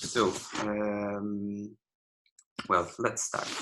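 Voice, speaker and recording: This is a man with an Italian accent. His tone is bright and sharp. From Italy, Rome. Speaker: architecture lecturer. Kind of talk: online lecture. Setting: video call. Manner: halting, many fillers.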